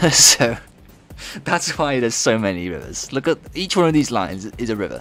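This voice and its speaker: A man with a British accent talks at a fairly quick pace and medium pitch, with very wide pitch swings over music in the background. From Britain. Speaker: video game modder streaming. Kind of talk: casual live stream commentary.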